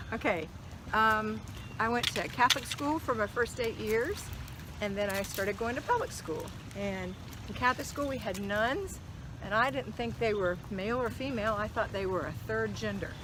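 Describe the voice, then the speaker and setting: Moderately paced female speech amid noticeable background noise and audible room echo. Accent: American. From US South, Jacksonville, Florida. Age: 60s. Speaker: lifestyle vlogger. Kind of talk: casual chat. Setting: outdoors.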